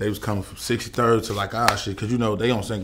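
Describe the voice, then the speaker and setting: A man's fairly low voice at a very fast pace, with noticeable background noise. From Chicago, east side. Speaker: rapper; interview guest. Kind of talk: casual interview. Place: studio.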